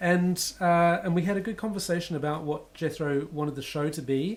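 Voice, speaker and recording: With a New Zealand accent, a man speaks at a moderate pace using ordinary pitch variation. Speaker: composer. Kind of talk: casual chat.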